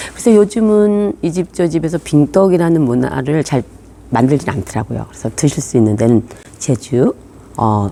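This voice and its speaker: A woman's very deep, low, dark and mellow voice at a moderate pace, with very wide pitch swings. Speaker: tour guide. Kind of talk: explanatory talk to camera.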